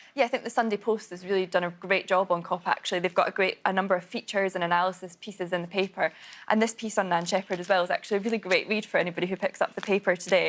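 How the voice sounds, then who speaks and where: A woman with a Scottish accent speaks at a very fast pace in a medium pitch, her intonation monotone and flat, with hardly any pauses. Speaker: newspaper journalist. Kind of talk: newspaper review discussion.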